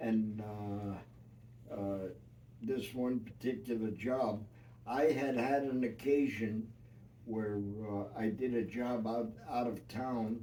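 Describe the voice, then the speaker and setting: Noticeable background noise sits behind a man who speaks very slowly in a New York accent with fairly even intonation. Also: medium pitch for a man. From New York City. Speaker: retired union carpenter. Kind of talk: family interview storytelling. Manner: hesitant, many filler words.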